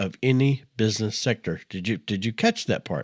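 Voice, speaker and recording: On a very clean recording with a silent background, a man with an American accent speaks at a moderate pace in a fairly low pitch with lively intonation. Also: dry, close sound with no echo. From Texas. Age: 60s. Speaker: podcast host. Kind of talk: podcast monologue. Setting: studio.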